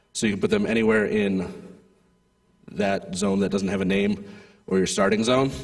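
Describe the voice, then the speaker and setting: Pausing long and often at a moderate pace, a man speaks with audible room echo. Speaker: head referee at a robotics competition. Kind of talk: rules briefing to competitors. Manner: casual, filler-heavy.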